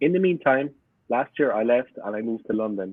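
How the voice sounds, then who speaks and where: With a strong Cork accent, a man talks at a fairly quick pace and a medium pitch. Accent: strong Irish (Cork). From Ireland, Cork city south side. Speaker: football fan YouTuber. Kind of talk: podcast interview. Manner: animated.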